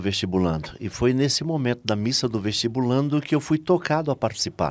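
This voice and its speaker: With lively intonation and a moderate pace, a man talks at medium pitch in a very clean recording over a silent background. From Brazil, Salvador, Bahia. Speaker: lay missionary and preacher. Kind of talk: testimony.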